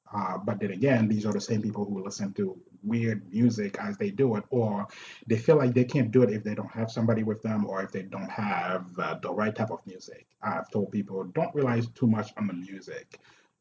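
Noticeable background noise surrounds a man with a fairly low pitch. His intonation stays fairly even at a fairly quick pace. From Haiti. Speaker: martial arts instructor and personal trainer. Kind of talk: casual interview.

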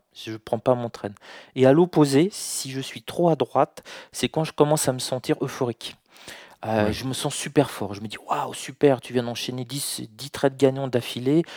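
An unremarkable speaking voice moves at a fairly slow pace with fairly even intonation and big swings in loudness, the sound dry and close with no echo. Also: man. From France. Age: 40s. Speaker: trader. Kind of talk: interview.

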